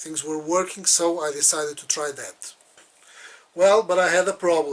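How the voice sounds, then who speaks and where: A man with a high pitch speaks with big swings in loudness. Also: fairly even intonation, moderate pace. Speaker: model railroad hobbyist. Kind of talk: tutorial. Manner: halting.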